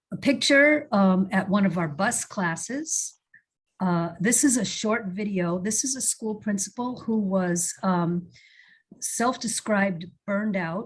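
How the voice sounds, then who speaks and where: Against a quiet background, a woman talks at a fairly slow pace in a somewhat breathy voice with lively intonation. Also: medium pitch for a woman. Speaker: early childhood program presenter. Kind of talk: webinar presentation.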